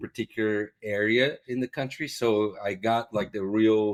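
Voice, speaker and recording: Here a man speaks fairly slowly with a Portuguese accent. His intonation is fairly even. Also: very clean recording, silent background. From Brazil. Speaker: ophthalmology professor. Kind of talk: casual interview chat. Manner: halting, many repetitions and fillers.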